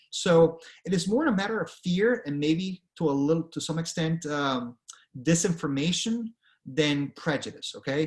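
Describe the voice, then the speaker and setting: With ordinary pitch variation, a man talks at a moderate pace in a high pitch. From Venezuela. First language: Spanish. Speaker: author and career speaker. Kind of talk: presentation. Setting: online presentation with screen share. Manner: conversational, frequent fillers.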